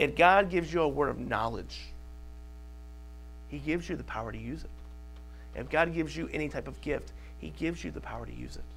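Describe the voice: A man's fairly high voice with vocal fry, big pitch swings and long, frequent pauses. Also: moderate pace.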